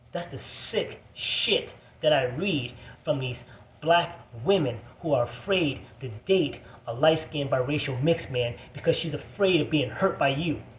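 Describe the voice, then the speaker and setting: There is audible room echo as a man speaks at a fairly slow pace with a fairly high pitch and ordinary pitch variation. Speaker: video blogger. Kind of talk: angry rant. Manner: animated.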